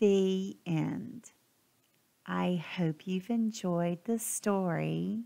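A woman with a fairly low voice and a gentle, warm tone speaks at a very slow pace. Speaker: grandmotherly storybook reader. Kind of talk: bedtime story reading aloud. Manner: gentle, soft, warm storytelling pace.

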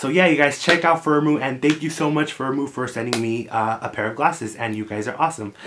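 Talking at a very fast pace with hardly any pauses, a man sounds animated and uses ordinary pitch variation over noticeable background noise. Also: fairly high pitch for a man. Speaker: YouTuber. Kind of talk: casual vlog. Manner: animated, friendly. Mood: friendly, upbeat. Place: home room.

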